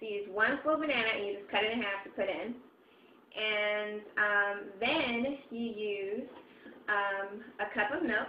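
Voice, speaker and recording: With long, frequent pauses, a woman speaks at a fairly slow pace and with ordinary pitch variation. Audible room echo and light background noise surround her voice. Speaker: home recipe vlogger. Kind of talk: casual tutorial chat. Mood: cheerful, relaxed. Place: kitchen. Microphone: webcam.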